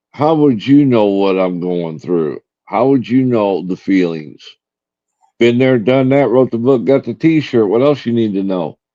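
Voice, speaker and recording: At a fairly slow pace, a man with an American accent speaks in a medium-pitched voice with lively intonation. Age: 60s. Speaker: live streamer. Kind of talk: casual chat. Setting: live stream.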